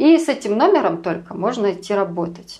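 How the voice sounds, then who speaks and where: At a fairly slow pace, a woman speaks in a calm tone. Her pitch is medium, with lively intonation. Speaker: emigrant sharing life abroad. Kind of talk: interview.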